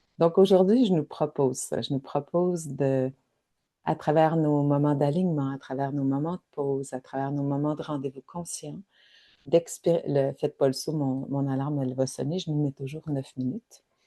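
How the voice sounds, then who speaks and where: A woman with a Quebec accent speaks at a moderate pace in a very deep, low, dark, mellow voice with fairly even intonation, the sound dry and close with no echo. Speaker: spiritual wellness guide. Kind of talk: guided reflection livestream. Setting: live online session. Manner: halting, repeats words.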